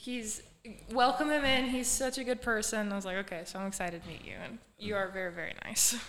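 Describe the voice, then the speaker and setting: Fairly quick speech from a woman, fairly high in pitch with ordinary pitch variation, big swings in loudness and audible room echo. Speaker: student podcast host. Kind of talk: casual interview.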